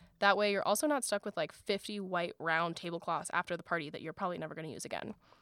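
With an American accent, a woman speaks at a very fast pace with ordinary pitch variation on a very clean recording, the background silent and the sound dry and close with no echo. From US South, South Florida. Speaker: podcast host, graduate student. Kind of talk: scripted solo podcast talk.

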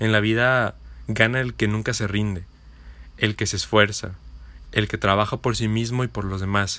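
In a very clean recording with a silent background, a man speaks at a moderate pace with long, frequent pauses. His fairly low voice has a bright, sharp tone and flat, monotone intonation. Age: 20s. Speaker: podcaster. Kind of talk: motivational monologue.

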